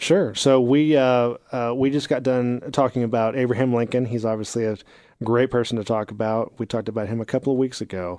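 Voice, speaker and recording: Against a quiet background, a man with an American accent talks fairly quickly at a medium pitch. He has an unremarkable speaking voice with fairly even intonation. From Texas. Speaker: university dean. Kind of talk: casual interview.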